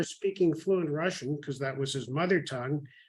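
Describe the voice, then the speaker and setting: With a Canadian accent, this man talks using ordinary pitch variation. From Canada, Toronto. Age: 70s. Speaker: software executive. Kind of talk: interview.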